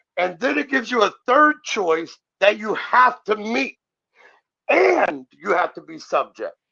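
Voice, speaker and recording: A man projects a raised voice with a bright, sharp tone and high pitch. His pitch swings very widely, his loudness shifts a lot, and his pace is fairly slow. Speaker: sovereign citizen commentator. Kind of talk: heated debate.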